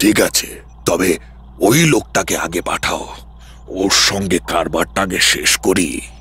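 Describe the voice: Someone performs a put-on character voice at a moderate pace, with light background noise. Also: man, very deep, low pitch for a man.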